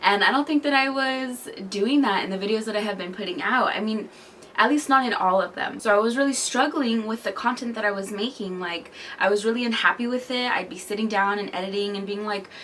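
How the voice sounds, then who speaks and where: There is noticeable background noise as a woman talks at a fairly quick pace. Her fairly high pitch shows ordinary variation. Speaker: lifestyle vlogger. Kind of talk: casual vlog monologue. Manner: hesitant, halting.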